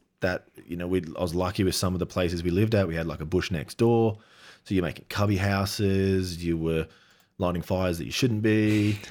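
On a very clean recording with a silent background, a man with an Australian accent talks at a fairly quick pace in a very deep, low pitch with fairly even intonation. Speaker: adventure cinematographer. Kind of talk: casual interview.

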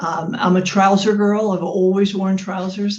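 Speaking at a moderate pace, a woman with a medium pitch sounds somewhat breathy. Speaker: fashion brand founder and life coach. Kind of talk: interview conversation. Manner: hesitant, many fillers.

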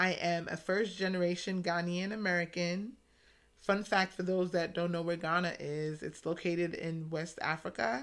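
A woman speaks with an ordinary speaking voice, fairly low in pitch. Her intonation is fairly even, on a very clean recording with a silent background. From US, New York City (the Bronx). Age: young. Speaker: podcast host, emergency medicine doctor. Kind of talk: monologue introduction.

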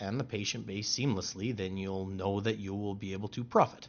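A man talks at a moderate pace with a Canadian accent. His pitch is fairly low. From Canada, southern Alberta. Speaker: accountant. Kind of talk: interview. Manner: halting, many fillers.

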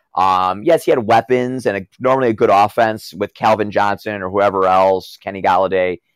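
In a normal speaking voice of fairly low pitch, a man talks at a moderate pace with ordinary pitch variation, recorded very cleanly with a dry, close sound, no echo and a silent background. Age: 30s. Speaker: wrestling personality. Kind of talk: casual interview.

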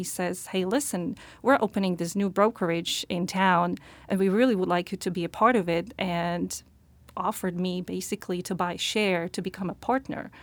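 A woman talks at a moderate pace with a Slovak accent. The recording is very clean, with a silent background. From Slovakia. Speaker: realtor. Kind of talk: interview.

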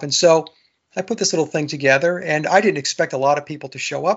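Here is a plain, everyday voice, a man's, fairly high in pitch with an American accent. He moves at a fairly quick pace with fairly even intonation. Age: 60s. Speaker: researcher and musician. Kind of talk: interview, explaining conspiracy research.

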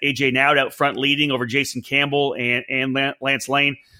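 A man with an ordinary speaking voice, fairly high pitch, fairly even intonation and a fairly quick pace. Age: 40s. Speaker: motorsport podcast host. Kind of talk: casual chat about racing results.

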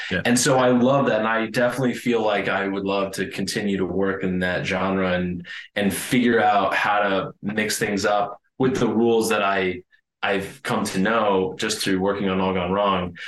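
At a moderate pace, a man speaks with fairly even intonation and a fairly low pitch, with audible room echo around him. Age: 30s. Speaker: film director and screenwriter. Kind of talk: casual interview.

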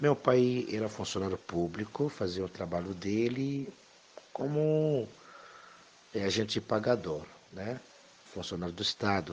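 Soft-spoken and fairly low in pitch, a man talks at a fairly slow pace with lively intonation and long, frequent pauses. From DR Congo, Kinshasa. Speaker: immigrant. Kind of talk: life story interview. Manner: halting.

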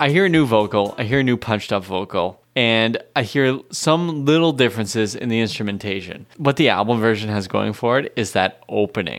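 An unremarkable speaking voice moves at a fairly quick pace. Its intonation is lively. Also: man, medium pitch for a man. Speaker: music podcast co-host. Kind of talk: casual chat.

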